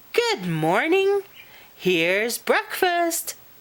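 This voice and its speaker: She uses a put-on character voice. It sits at an extremely high pitch for a woman. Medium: read story.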